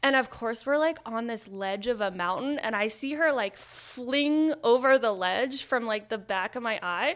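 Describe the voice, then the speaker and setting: This woman has a fairly high pitch, ordinary pitch variation and a moderate pace, with an unremarkable speaking voice. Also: hardly any pauses. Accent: American. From New York, Nyack. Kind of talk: casual interview chat. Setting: studio.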